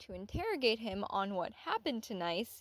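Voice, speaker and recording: A woman with an unremarkable speaking voice and a fairly high pitch talks at a moderate pace on a very clean recording with a silent background. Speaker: anime analysis YouTuber. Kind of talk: scripted video essay.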